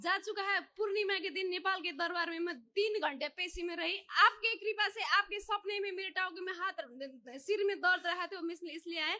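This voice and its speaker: Using a raised, projected voice, a woman with a Nepali accent speaks at a moderate pace and an extremely high pitch. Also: ordinary pitch variation. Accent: Nepali-accented Hindi. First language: Nepali (speaking Hindi). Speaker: devotee seeking healing. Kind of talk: testimony. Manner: halting, hesitant.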